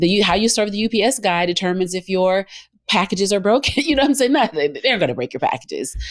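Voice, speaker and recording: With a Southern US accent, a woman at medium pitch talks at a very fast pace, her pitch swinging very widely. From US South, Georgia. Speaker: co-working space owner and former radio host. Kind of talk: interview.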